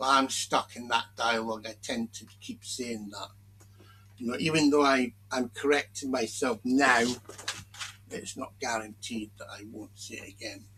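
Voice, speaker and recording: A man with a British accent and a bright, sharp tone speaks fairly slowly, his intonation fairly even but his loudness swinging widely. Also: medium pitch for a man. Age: 60s. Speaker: commentary video maker. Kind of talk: casual monologue commentary. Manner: halting.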